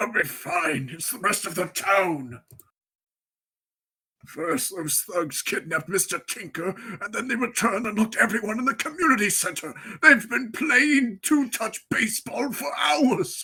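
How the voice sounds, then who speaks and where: Doing a put-on character voice, a man speaks at a high pitch with very wide pitch swings and a moderate pace. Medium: read story.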